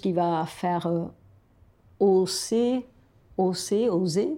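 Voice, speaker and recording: This is a woman's voice. She speaks with a Spanish accent. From Argentina. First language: Spanish (speaking French). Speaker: storyteller. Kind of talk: casual chat.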